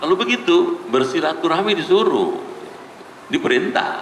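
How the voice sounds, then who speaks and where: A man's voice, with noticeable background noise and audible room echo. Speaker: Islamic preacher. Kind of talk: sermon. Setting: mosque with audience. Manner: slow, soothing teaching tone; getting quieter.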